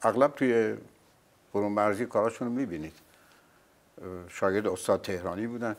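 A man speaks at a very fast pace. His pitch is fairly low, with ordinary variation. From Iran. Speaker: veteran actor, singer, dubbing artist and announcer. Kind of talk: interview answer. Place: studio. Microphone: lapel.

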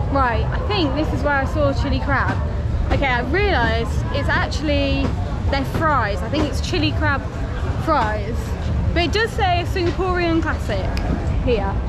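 A woman speaks with long, frequent pauses while clear music plays in the background. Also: moderate pace, dry sound with no echo. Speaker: travel vlogger. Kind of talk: casual vlog chat. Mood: excited, cheerful. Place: market. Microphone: phone near.

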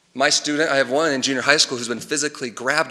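Talking at a very fast pace, a man with a Texan accent keeps a fairly even intonation over noticeable background noise. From Texas, Tomball/Montgomery area. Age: 30s. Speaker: parent speaking at public comment. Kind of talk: public comment at school board meeting.

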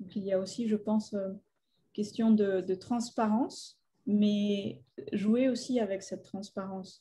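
A woman's dark, mellow, somewhat breathy voice in a flat monotone at a fairly slow pace, over light background noise. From Colombia, Bogota; Colombia. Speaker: artist and filmmaker; guest. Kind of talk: public talk. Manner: halting. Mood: thoughtful, calm. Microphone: webcam.

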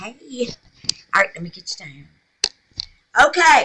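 A woman speaks at a fairly slow pace in a fairly high, bright, sharp voice with a slightly husky edge and big pitch swings.

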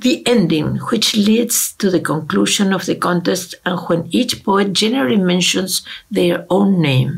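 With a Spanish accent, a woman talks at a fairly slow pace and very even loudness, hardly pausing, against a quiet background. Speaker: ethnomusicology researcher. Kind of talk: lecture. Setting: video call. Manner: formal. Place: home room. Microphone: webcam.

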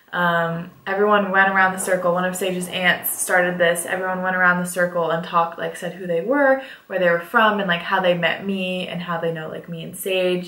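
In a room with audible echo, a woman speaks at a moderate pace with fairly even intonation. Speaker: vlogger. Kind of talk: casual vlog chat, story time. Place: home room.

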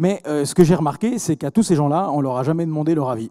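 A man's dark, mellow tone against a quiet background. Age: 40s. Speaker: entrepreneur; speaker. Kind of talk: conference talk. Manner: halting, many repetitions. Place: hall. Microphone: handheld.

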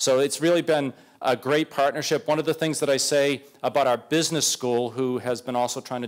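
Medium in pitch, a man speaks in an American accent, with ordinary pitch variation. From Boston, US. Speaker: medical school dean. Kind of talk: presentation to city council. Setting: council meeting with audience. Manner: fast; enthusiastic.

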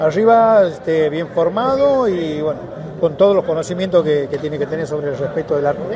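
A man whose pitch is fairly high talks with ordinary pitch variation over noticeable background noise. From Argentina, Santiago del Estero (La Banda); Argentina. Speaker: goalkeeping coach, former goalkeeper; goalkeeping coach. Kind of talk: interview. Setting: stadium. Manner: halting. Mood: warm, glad to be back. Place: stadium. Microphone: handheld.

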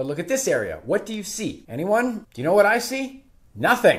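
A man talks at a fairly quick pace in a high pitch with a slightly husky edge and very wide pitch swings.

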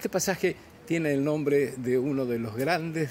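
Against noticeable background noise, the speech runs at a fairly slow pace with ordinary pitch variation. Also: man. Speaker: walking street vlogger. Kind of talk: casual vlog chat. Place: street. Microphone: phone near.

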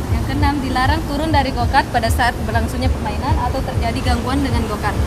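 Over crowd noise in the background, a woman talks at a very fast pace. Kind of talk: safety briefing reading rules. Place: stadium.

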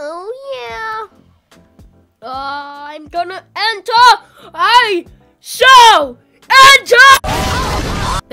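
A put-on character voice, extremely high-pitched, swings very widely in pitch at a very slow pace. Long, frequent pauses break it up over faint background music. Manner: over the top, theatrical.

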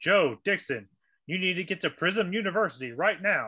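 In a put-on character voice, a man talks at a moderate pace, pitched high with lively intonation. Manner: intimidating.

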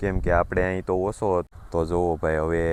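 This man's voice sits at a very deep, low pitch. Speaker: farming vlogger. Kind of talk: casual vlog narration.

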